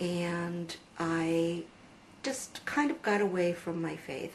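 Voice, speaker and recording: Over noticeable background noise, a woman speaks with an American accent. Her pitch is fairly low and her intonation fairly even. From USA. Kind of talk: testimony. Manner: hesitant, many fillers.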